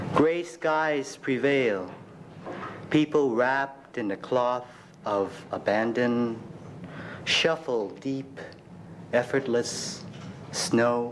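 Light background noise sits behind a man speaking at a very slow pace. He leaves long, frequent pauses, and his pitch varies in an ordinary way. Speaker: poet. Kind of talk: poet reading own poems aloud at a live reading. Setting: stage with audience at a university reading. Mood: expressive, emotional delivery. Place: classroom. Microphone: podium.

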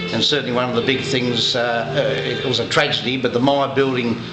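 Over clear background music, a man speaks at a fairly quick pace. His intonation is monotone and flat. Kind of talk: interview answer. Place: bar. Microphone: phone near.

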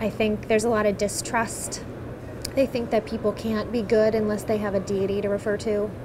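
Over noticeable background noise, a woman with an American accent speaks at a fairly high pitch and a fairly quick pace, her intonation monotone and flat. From eastern Pennsylvania, Bethlehem; Pennsylvania. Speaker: patient advocate, secular activist. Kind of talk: personal testimony interview. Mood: calm, reflective. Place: hall.

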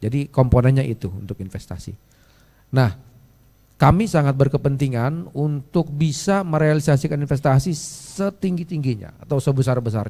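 A dark, mellow, somewhat breathy voice at a fairly quick pace, with lively intonation. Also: man. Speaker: government official; speaker. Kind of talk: presentation. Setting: stage with audience. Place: hall. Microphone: handheld.

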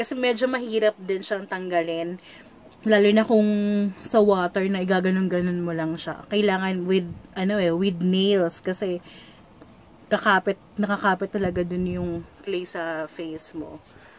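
A woman talks at a moderate pace. Her intonation is fairly even. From Philippines. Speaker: beauty vlogger. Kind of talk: product tutorial vlog. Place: home room. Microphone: phone near.

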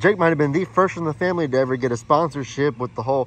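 The man's voice sounds dry, with no echo at all. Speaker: vlogger. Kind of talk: casual vlog chat. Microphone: phone near.

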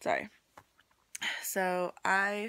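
A woman with a fairly low pitch and fairly even intonation. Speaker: vlogger. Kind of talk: casual vlog. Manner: hesitant, filler-heavy. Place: home room. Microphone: phone near.

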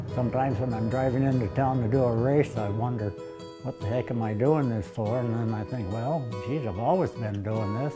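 A man with an American accent talks at a fairly quick pace while music plays clearly in the background. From Vermont, USA. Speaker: ultra runner. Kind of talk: documentary interview answer. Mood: reflective, wry. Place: home room.

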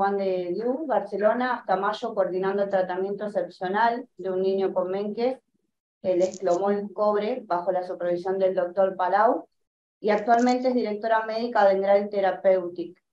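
The voice has a dark, mellow tone and a fairly slow pace. Light background noise and room echo are audible. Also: woman. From Argentina. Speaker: host introducing a speaker. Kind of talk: panel discussion. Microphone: webcam.

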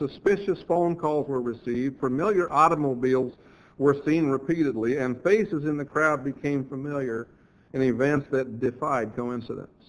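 A man with a normal speaking voice, fairly high in pitch, at a moderate pace with ordinary pitch variation. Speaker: church lecturer, creationist speaker. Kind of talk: church lectureship sermon.

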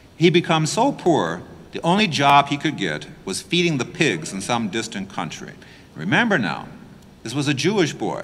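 A man with a fairly high pitch and vocal fry speaks at a moderate pace, his pitch swinging very widely. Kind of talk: homily preaching. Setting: church. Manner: explanatory, emphatic, earnest; plain-spoken, conversational. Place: church.

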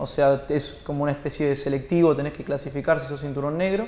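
A man speaks with fairly even intonation, and audible room echo surrounds his voice. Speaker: guest. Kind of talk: interview answer. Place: studio.

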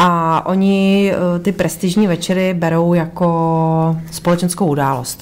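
At a fairly slow pace, a woman speaks with a fairly low pitch, monotone, flat intonation and very even loudness. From Karlovy Vary. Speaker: boxer's wife. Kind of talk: casual chat.

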